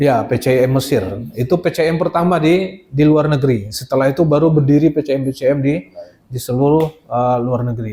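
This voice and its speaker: Speaking with a Minangkabau accent, a man talks at a fairly quick pace. His voice is fairly high in pitch, dark and mellow in tone, with ordinary pitch variation. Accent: Minang. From West Sumatra, Padang. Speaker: Islamic boarding school teacher and administrator. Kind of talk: informal presentation to visiting delegation. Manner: hesitant, many fillers.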